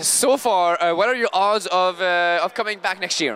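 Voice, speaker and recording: Fairly slow speech in a Quebec accent, with ordinary pitch variation. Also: man. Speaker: convention video podcast host. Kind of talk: casual convention interviews and banter.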